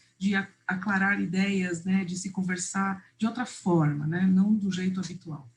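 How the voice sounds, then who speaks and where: A woman speaks in a somewhat breathy voice. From Uruguay, raised in Brazil. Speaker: visual facilitation trainer. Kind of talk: online workshop presentation.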